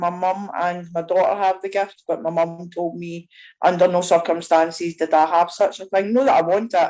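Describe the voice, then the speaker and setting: A woman speaks with a Scottish accent and fairly even intonation. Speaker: audience member asking a question. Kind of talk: live Q&A on a video call. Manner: fast.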